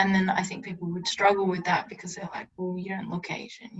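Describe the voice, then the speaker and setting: A woman speaks at a medium pitch with an Australian accent, her voice somewhat breathy. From rural Victoria, Australia. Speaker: podcast guest. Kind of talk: casual chat. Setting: video call.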